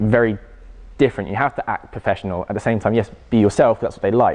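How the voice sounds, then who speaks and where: Speaking at a fairly quick pace with an English accent, a man uses a fairly low pitch and fairly even intonation. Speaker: personal trainer. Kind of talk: public talk Q&A. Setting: college audience.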